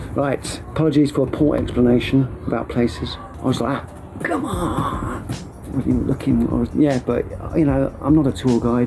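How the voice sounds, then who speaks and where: Noticeable background noise accompanies a man talking at moderate speed. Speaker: hiker video blogger. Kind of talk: casual vlog recap.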